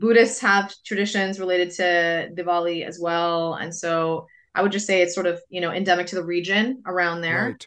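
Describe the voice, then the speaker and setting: A woman speaks in a normal speaking voice at a fairly low pitch and a moderate pace. Her intonation stays fairly even, with hardly any pauses. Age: 40s. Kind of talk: interview.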